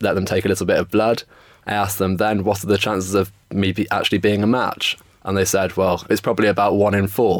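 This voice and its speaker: Speaking fairly quickly with a London accent, a man keeps a fairly low pitch and a flat, monotone delivery. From England, north-west London. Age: 20s. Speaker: stem cell donor. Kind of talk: interview.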